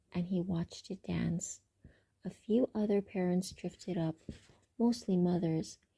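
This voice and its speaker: A woman with a medium-pitched, dark and mellow voice speaks very slowly and somewhat breathily, in a dry, close sound with no echo. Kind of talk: ASMR book reading. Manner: soft-spoken, not whispered.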